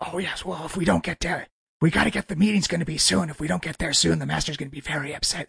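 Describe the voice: A man talks in a put-on character voice, fairly high and raspy. He races along at a very fast pace.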